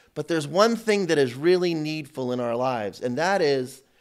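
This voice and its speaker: The background stays quiet while a man talks. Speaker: priest teaching a seminar. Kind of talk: sermon. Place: church.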